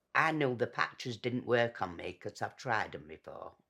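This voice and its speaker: Someone speaks with a Yorkshire accent at a moderate pace in a very clean recording with a silent background. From northern England, Doncaster, Yorkshire. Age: 70s. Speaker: former smoker. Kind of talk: testimony.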